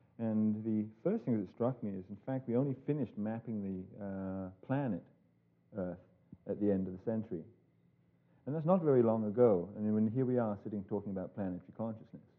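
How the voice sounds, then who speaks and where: The man speaks at a fairly quick pace in a fairly low voice. His pitch varies in an ordinary way. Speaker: lecturer. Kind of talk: lecture. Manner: halting, many fillers.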